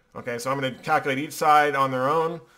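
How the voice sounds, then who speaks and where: A man talks at a fairly quick pace with fairly even intonation. His voice is fairly high-pitched, with a bright, sharp tone. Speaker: engineering professor. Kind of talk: lecture. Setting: classroom. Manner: fast.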